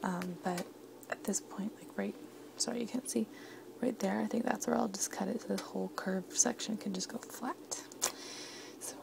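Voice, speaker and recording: There is noticeable noise in the background while a woman speaks at a moderate rate. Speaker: home baker vlogger. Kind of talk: casual baking vlog.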